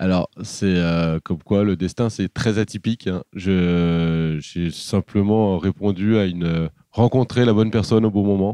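A man speaks at a fairly slow pace in a dark, mellow tone with fairly even intonation over a quiet background. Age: 30s. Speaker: boat tour entrepreneur. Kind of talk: interview. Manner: hesitant, many fillers.

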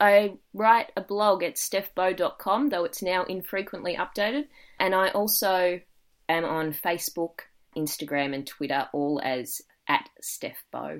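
In an Australian accent, the voice moves at a fairly slow pace with lively intonation. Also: woman, medium pitch for a woman. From Australia, Victoria (Dandenong Ranges). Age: 20s. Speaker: young adult novelist. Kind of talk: podcast interview.

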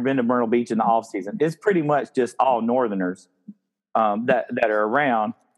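A man speaks in a South Carolina accent. His pitch swings very widely. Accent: South Carolina Southern. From Spartanburg, South Carolina. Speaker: podcast host. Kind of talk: casual chat.

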